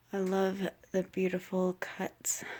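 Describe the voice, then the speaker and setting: This is a woman's voice. She is soft-spoken. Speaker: witchcraft vlogger. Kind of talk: casual home tour vlog. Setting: at home, late at night. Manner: hesitant, many fillers.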